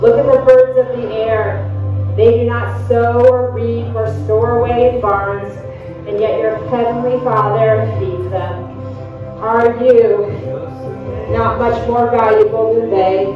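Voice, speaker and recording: Over clear background music and strong room echo, the speaker talks at a very slow pace. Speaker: fitness instructor. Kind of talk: scripture reading during class. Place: studio.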